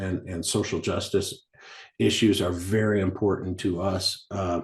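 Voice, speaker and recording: Somewhat breathy man's voice, very deep and low, with an American accent, fairly slow pace and fairly even intonation. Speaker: mining company executive. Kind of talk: interview. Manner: halting, many fillers and repetitions.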